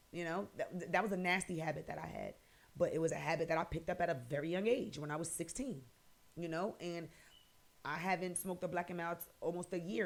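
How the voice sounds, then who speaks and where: With an American accent and an unremarkable speaking voice, a woman talks at a fairly quick pace at a fairly low pitch with ordinary pitch variation. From New Jersey, Paterson. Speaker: podcast host. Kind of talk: personal testimony podcast monologue. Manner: casual, conversational.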